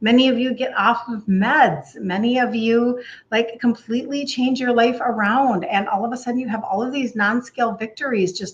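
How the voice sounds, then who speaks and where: With hardly any pauses, a woman talks at a moderate pace in a high pitch with ordinary pitch variation. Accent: Minnesotan. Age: 60s. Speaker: health coach. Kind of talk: live stream talk. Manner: casual chatty.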